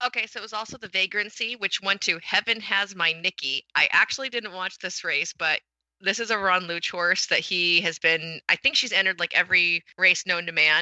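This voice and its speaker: In a normal speaking voice, the speaker goes at a moderate pace with ordinary pitch variation and hardly any pauses. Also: woman, medium pitch for a woman. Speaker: podcast co-host. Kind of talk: casual chat.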